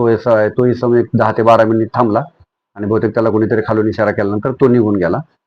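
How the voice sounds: A man speaks at a fast pace. His fairly low voice shows little pitch movement.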